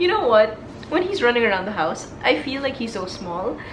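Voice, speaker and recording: A woman with a Filipino accent speaks at a high pitch with very wide pitch swings. Noticeable background noise is present. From Philippines. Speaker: corporate lawyer. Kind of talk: casual talk to camera.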